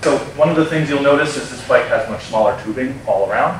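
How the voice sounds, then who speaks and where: This man talks at a very fast pace, with noticeable background noise and audible room echo. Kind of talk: interview answer. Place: workshop.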